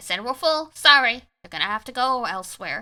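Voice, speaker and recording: A woman puts on a gruff character voice at a high pitch. She talks at a fairly quick pace, with big swings in loudness. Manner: gruff, curt, dismissive.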